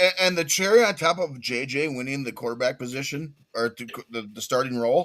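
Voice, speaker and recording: A man with an American accent and an ordinary speaking voice, fairly high in pitch, with lively intonation, a fairly quick pace and big swings in loudness. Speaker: sports podcast co-host. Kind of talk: casual chat. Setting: live stream.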